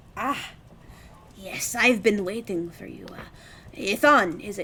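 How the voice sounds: A female-sounding voice, put on as a character, speaks at a medium pitch and a fairly slow pace.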